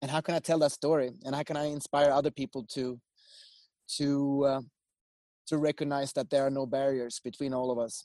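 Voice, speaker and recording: A man speaks fairly quickly in a fairly high pitch, with a dark, mellow tone and flat, monotone intonation, leaving long, frequent pauses. The sound is dry and close with no echo, over a quiet background. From Sweden. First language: Swedish. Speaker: filmmaker. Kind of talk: casual chat.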